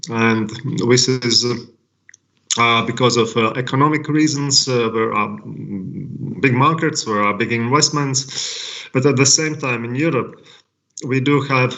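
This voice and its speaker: A man's medium-pitched voice with a Latvian accent, fairly even intonation, a fairly slow pace and long, frequent pauses. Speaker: language technology company representative. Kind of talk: panel presentation. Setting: online live event. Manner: halting, many fillers.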